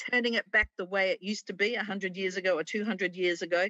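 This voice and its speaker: Against a quiet background, a woman with an Australian accent talks at a moderate pace with ordinary pitch variation in a dry sound with no echo. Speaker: conservation liaison and author; guest. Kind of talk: interview. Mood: warm, enthusiastic. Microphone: video call.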